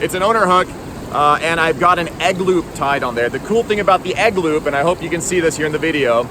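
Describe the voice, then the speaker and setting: With noticeable background noise behind him, a man talks in a high voice. His intonation is lively. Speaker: fishing vlogger. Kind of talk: casual outdoor vlog tutorial. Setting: outdoors by a river. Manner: casual with many fillers.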